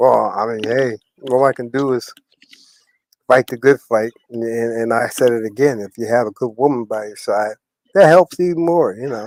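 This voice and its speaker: Medium pitch from a man, ordinary pitch variation, a moderate pace and big swings in loudness, in a dry, close sound with no echo. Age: 60s. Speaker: live streamer. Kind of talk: casual chat. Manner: animated.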